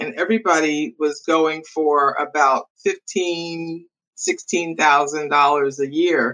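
A woman with an American accent speaks in a fairly low pitch with a bright, sharp tone. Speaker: leadership coach. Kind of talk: interview.

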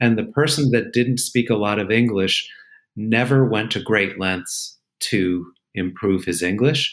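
A man with an unremarkable speaking voice talks fairly slowly at a medium pitch, with ordinary pitch variation. The recording is very clean with a silent background. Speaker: therapist podcast host. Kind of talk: casual conversation.

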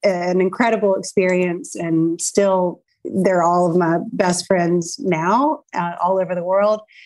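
Her medium-pitched voice moves at a very slow pace with ordinary pitch variation as this woman speaks. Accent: American. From Charlotte, North Carolina. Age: 50s. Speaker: clothing store owner. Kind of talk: interview.

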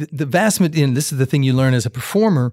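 A man with an American accent talks at a fairly quick pace, his intonation lively. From Kansas, US Midwest. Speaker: music teacher and jazz musician. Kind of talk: casual interview conversation. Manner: conversational, halting with repetitions.

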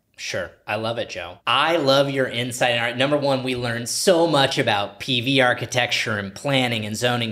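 Over noticeable background noise, a man with a medium pitch talks at a moderate pace in an energetic tone, with ordinary pitch variation and hardly any pauses. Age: 30s. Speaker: podcast host, real estate broker. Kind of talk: casual interview.

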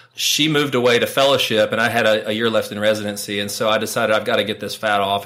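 A man at a very fast pace, bright and sharp in tone, with fairly even intonation. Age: 40s. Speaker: urologist. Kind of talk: interview.

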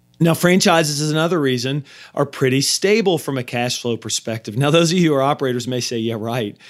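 Very fast speech with ordinary pitch variation on a very clean recording with a silent background. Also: man, fairly high pitch for a man. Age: 40s. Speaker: podcast host, M&A advisor. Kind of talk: solo podcast monologue on finance.

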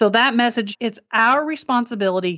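With an American accent, a woman talks at a moderate speed. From Kentucky. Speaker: lung cancer survivor and non-profit founder. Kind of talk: interview.

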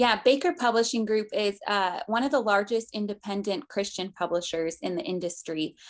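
A woman with an American accent speaks at a fairly high pitch in a plain, everyday voice, with lively intonation and hardly any pauses. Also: moderate pace. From Colorado. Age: 20s. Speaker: book publicist. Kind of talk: interview.

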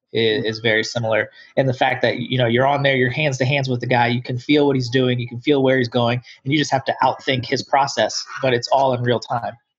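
Somewhat breathy and monotone with flat intonation, a man with an American accent speaks at a very fast pace in a medium-pitched voice. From US Midwest (Dayton area, Ohio). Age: 30s. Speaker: wheelchair fencer and police officer. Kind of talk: interview.

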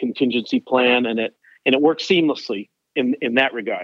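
A man with a plain, everyday voice talks at a moderate pace. His pitch is medium, and his intonation is fairly even. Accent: American. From Maine, US. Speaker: financial planner. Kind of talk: interview.

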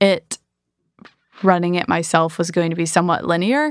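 In an American accent, a woman speaks at a moderate pace and a fairly low pitch. She has an ordinary speaking voice. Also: very clean recording, silent background. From Michigan, US. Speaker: entrepreneur. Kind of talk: interview.

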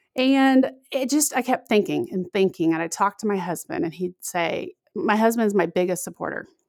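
A woman speaks at a moderate pace in a fairly high voice whose pitch swings very widely. The recording is very clean, dry and close, with no echo and a silent background. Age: 40s. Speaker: podcaster and intermittent fasting advocate. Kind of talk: interview.

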